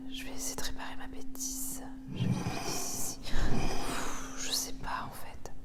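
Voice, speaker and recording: A woman whispers with long, frequent pauses over noticeable background noise. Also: moderate pace. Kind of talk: ASMR craft video, chatting while painting. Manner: soft-spoken.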